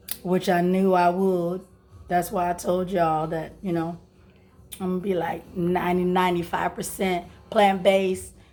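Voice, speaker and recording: A woman's medium-pitched, flat monotone at a moderate pace, with music in the background. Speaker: lifestyle vlogger. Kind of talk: casual vlog chat.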